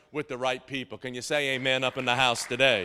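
The recording is very clean with a silent background, capturing a man whose tone is bright and sharp. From Tennessee. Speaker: pastor. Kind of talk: sermon. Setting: church. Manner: halting; animated.

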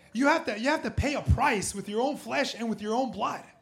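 A man with an American accent talks at a fairly quick pace and ordinary pitch variation, with audible room echo. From Southern California. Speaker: pastor. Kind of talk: sermon. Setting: church with congregation.

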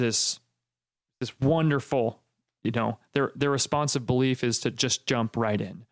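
At a fairly slow pace, a man with an unremarkable speaking voice talks at medium pitch with fairly even intonation, the sound dry and close with no echo. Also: very even loudness. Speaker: podcast host. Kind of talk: casual chat.

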